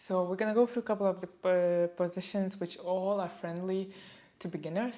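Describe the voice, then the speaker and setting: A woman with a non-native accent speaks in a dark, mellow tone with fairly even intonation. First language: not English. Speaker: yoga instructor. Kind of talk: guided yoga class. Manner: calm, gentle; halting.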